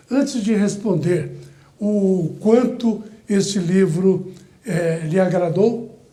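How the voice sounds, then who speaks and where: There is audible room echo around this man. His pitch is high, with ordinary variation. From Brazil, Goiás (Orizona region). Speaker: TV show host. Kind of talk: interview. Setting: studio.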